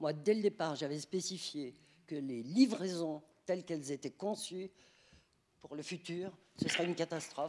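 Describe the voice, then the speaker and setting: A fairly low-pitched woman speaks with lively intonation at a moderate pace. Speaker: resident. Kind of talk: public meeting complaint. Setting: neighbourhood council meeting. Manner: animated.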